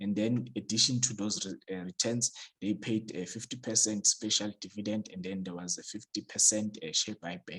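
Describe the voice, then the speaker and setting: A man with a non-native accent talks at a moderate pace, fairly low in pitch with ordinary pitch variation. The sound is dry and close, without echo. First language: not English. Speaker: stock market YouTuber. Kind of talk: tutorial. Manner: hesitant, many fillers.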